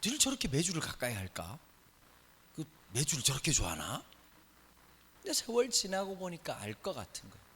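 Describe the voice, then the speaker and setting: Speech in a Busan accent carries vocal fry and very wide pitch swings. Long, frequent pauses break it up. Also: man. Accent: Busan (Gyeongsang). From Busan, South Korea. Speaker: pastor. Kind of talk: sermon. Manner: conversational.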